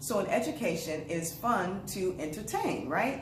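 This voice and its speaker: A woman talks over noticeable background noise, with audible echo from the room. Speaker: early literacy educator. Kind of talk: tutorial. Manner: fast; casual.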